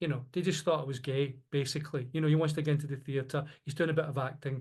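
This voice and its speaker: A man with a Glasgow accent has a fairly high, somewhat breathy voice over a quiet background. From Scotland, Glasgow. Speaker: podcast co-host. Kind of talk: casual conversation. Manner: halting, repeats words.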